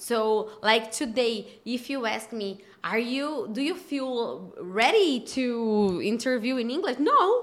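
In a Portuguese accent, a woman with a high voice speaks at a very slow pace with lively intonation. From Brazil. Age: 30s. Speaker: podcast host. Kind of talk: interview. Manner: halting.

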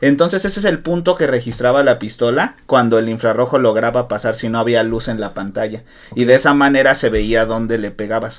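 Spoken at a fairly quick pace, this is a plain, everyday voice. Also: man. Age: 20s. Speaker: podcast host. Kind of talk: casual chat.

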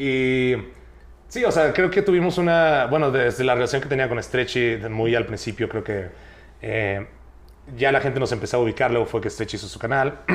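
Using an unremarkable speaking voice, a man talks at a moderate pace in a medium pitch with ordinary pitch variation. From Mexico, Chiapas (Tuxtla Gutiérrez). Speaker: youtuber. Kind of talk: casual chat.

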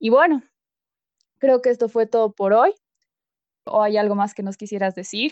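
A woman speaks at a moderate pace in a fairly high voice with ordinary pitch variation. She leaves long, frequent pauses, and the sound is dry and close with no echo. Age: 20s. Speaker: student podcast co-host. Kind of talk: casual interview.

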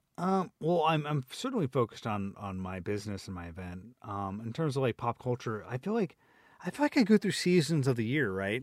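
Mumbling at a fairly quick pace, a man at medium pitch makes very wide pitch swings and big swings in loudness, heard in a dry, close sound with no echo. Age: 40s. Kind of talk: casual chat. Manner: fast talker, mumbles.

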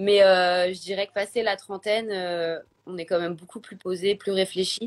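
A woman speaks in a normal speaking voice at a medium pitch with fairly even intonation. The sound is dry and close, with no echo. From Paris, France. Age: 30s. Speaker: influencer and blogger. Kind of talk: interview, personal testimony. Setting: Instagram live video.

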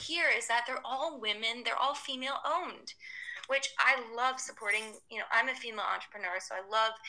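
A woman with an American accent speaks at a fairly quick pace in a fairly high pitch, with noticeable background noise. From US South, Atlanta. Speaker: sustainable lifestyle blogger and entrepreneur. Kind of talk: casual interview.

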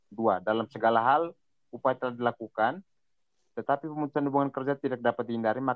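A man's medium-pitched, very fast speech with fairly even intonation. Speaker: economics student. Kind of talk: student group discussion.

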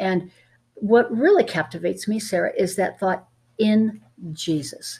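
A woman speaks with lively intonation in a medium-pitched, somewhat breathy voice. The recording is very clean, with a silent background. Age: 70s. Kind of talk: Bible teaching discussion.

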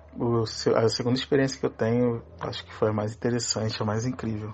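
A fairly quick pace with flat, monotone intonation over noticeable background noise. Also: man. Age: 20s. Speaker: podcast listener sharing UFO experiences. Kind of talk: personal testimony.

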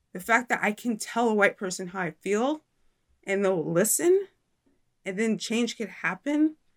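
A woman with a plain, everyday voice, fairly high in pitch, lively in intonation and moderate in pace, in a dry, close sound with no echo on a very clean recording with a silent background. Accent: American. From Indiana, US. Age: 30s. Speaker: independent journalist and YouTube host. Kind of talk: interview conversation.

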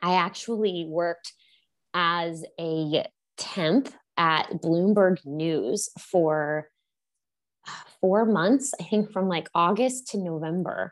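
A woman with an American accent speaks very slowly, with long, frequent pauses, a fairly low pitch and ordinary pitch variation. The recording is very clean and the background is silent. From Texas, Houston. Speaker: novelist. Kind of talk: casual interview.

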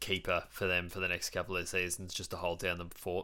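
In a very clean recording with a silent background, a man with an Australian accent speaks in a bright, sharp tone at a very deep, low pitch. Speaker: AFL podcast host. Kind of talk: casual chat.

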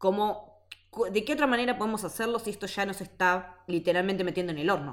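A woman's unremarkable speaking voice at medium pitch, at a fairly quick pace. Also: ordinary pitch variation. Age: 30s. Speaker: podcast co-host. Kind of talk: casual chat.

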